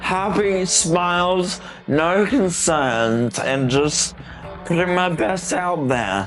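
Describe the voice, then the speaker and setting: Speech with lively intonation comes at a very slow pace. Music plays in the background, and room echo is audible. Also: man, high pitch for a man. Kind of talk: casual interview chat. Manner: animated.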